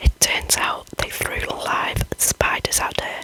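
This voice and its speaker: The voice is whispering. Noticeable background noise runs underneath. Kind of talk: whispered ASMR scary story reading. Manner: whispered.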